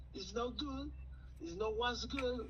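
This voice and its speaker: A man with a non-native accent is heard with audible room echo and noticeable background noise. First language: Spanish. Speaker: caller. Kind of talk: phone call-in conversation. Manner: halting.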